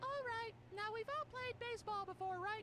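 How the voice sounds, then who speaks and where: At a moderate pace, a put-on character voice speaks in an extremely high pitch. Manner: theatrical, exaggerated.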